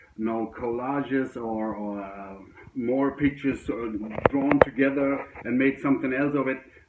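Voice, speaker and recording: Speaking at a fairly slow pace with a German accent, a man with a fairly high pitch is heard over noticeable background noise. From Germany. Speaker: record collector. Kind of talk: casual video monologue. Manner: halting, many fillers.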